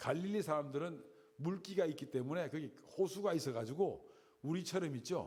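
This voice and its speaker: A somewhat breathy male voice with lively intonation, moderate pace and audible room echo. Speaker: Bible teacher. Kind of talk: Bible lecture.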